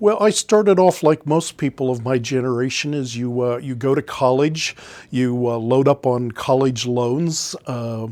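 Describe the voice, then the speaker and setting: Hardly pausing at all, a man of medium pitch talks at a fairly slow pace with ordinary pitch variation. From US Midwest, Canton, Ohio. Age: 60s. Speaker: former industrial salesperson, small business owner. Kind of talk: interview storytelling. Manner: halting, many fillers.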